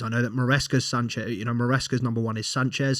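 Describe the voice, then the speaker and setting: Speaking fairly quickly in a British accent, a man uses a medium pitch and monotone, flat intonation on a very clean recording with a silent background. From Britain. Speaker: football podcast host. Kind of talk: casual commentary monologue. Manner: hesitant, many fillers and repeats.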